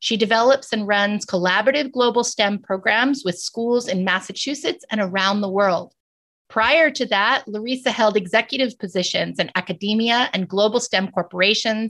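In a very clean recording with a silent background, a woman with an unremarkable speaking voice and a fairly high pitch talks at a moderate pace. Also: ordinary pitch variation. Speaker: podcast host. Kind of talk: scripted introduction. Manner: formal.

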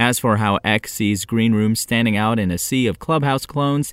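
A man with an unremarkable speaking voice talks at a moderate pace and medium pitch, the sound dry and close with no echo on a very clean recording with a silent background. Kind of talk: news bulletin read aloud, brisk daily tech headlines. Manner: crisp, even and businesslike, newsreader delivery.

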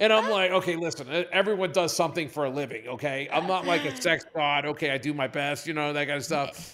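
Very fast speech from a fairly high-pitched man, with hardly any pauses, ordinary pitch variation and noticeable background noise. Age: 60s. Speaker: company CEO. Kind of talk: podcast interview. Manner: animated.

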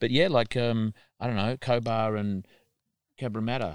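A man speaks with an Australian accent at a moderate pace. The recording is very clean and the background silent. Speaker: podcast host and farmer. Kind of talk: casual interview. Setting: on location at a farm.

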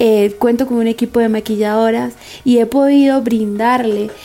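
A woman with a plain, everyday voice talks at a fairly slow pace in a fairly high pitch, with fairly even intonation. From Venezuela, San Cristóbal (Táchira). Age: 20s. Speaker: makeup artist. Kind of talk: testimony.

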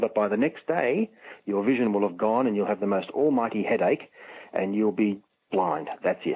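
A man uses a normal speaking voice, with ordinary pitch variation and a moderate pace. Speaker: magazine editor. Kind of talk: interview explaining astronomy.

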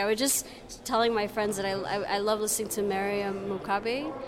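A woman with a Canadian accent at a fairly quick pace, medium in pitch, over noticeable background noise. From Canada. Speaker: festival visitor, student. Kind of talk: street interview. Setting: festival venue.

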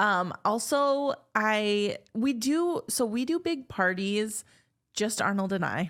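On a very clean recording with a silent background, a woman talks at a very slow pace in a fairly high pitch, her intonation lively and her loudness very even. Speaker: podcast host. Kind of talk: casual chat. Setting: studio.

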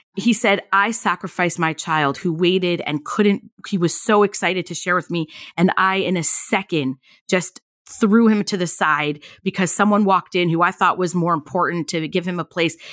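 A woman with an American accent and a plain, everyday voice speaks at a moderate pace, with a fairly low pitch and fairly even intonation. The sound is dry and close with no echo, on a very clean recording with a silent background. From Southern California. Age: 40s. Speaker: podcast host. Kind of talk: casual chat.

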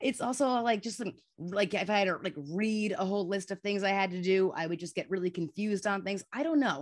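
Against a quiet background, a woman speaks very fast at a medium pitch. Her tone is animated. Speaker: guest with schizophrenia, advocate. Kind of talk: casual interview chat. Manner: animated, laughs often.

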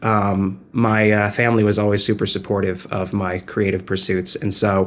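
In an ordinary speaking voice, a man speaks at a fairly slow pace with a fairly low pitch. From New Jersey. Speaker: musician. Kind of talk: interview. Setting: video call.

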